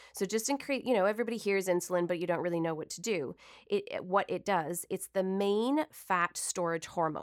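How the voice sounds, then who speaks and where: On a very clean recording with a silent background, a woman at a medium pitch uses an ordinary speaking voice with ordinary pitch variation. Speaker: nutritionist. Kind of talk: radio interview. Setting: studio.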